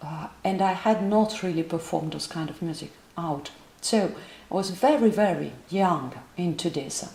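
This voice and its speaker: A woman's dark, mellow, somewhat breathy voice at a fairly low pitch, moderate pace and ordinary pitch variation, amid audible room echo. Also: big swings in loudness. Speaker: voice teacher. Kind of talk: lecture. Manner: halting.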